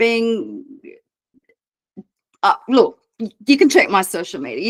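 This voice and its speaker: Fairly high-pitched woman's voice in an Australian accent, at a moderate pace. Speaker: business mentor. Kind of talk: online mentoring session. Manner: casual.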